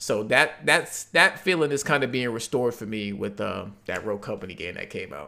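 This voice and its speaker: Over music in the background, a man at a medium pitch talks at a fairly quick pace with hardly any pauses, very wide pitch swings, and big swings in loudness. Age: 20s. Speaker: gamer and YouTube content creator. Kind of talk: casual chat.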